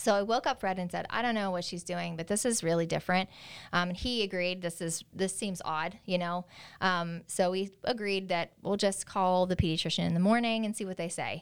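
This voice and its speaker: A woman speaks in a plain, everyday voice with an American accent, medium pitch and fairly even intonation. Her pace is fairly quick on a very clean recording with a silent background. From Pennsylvania, US. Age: 40s. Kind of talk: interview.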